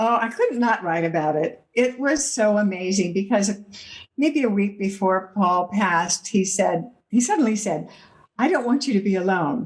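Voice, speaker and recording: At medium pitch and a moderate pace, a woman speaks somewhat breathily with lively intonation and very even loudness. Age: 80s+. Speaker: author. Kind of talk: interview.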